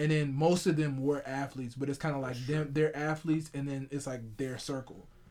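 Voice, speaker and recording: The speech moves at a fairly quick pace with hardly any pauses and a monotone, flat intonation. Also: man, fairly high pitch for a man. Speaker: podcast host. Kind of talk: casual chat.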